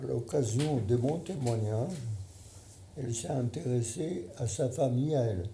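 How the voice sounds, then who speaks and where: Audible room echo follows a man who talks at a fairly slow pace, leaving long, frequent pauses. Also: medium pitch for a man, ordinary pitch variation. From Poland. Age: 90s. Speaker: Holocaust survivor and retired surgeon. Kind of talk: testimony.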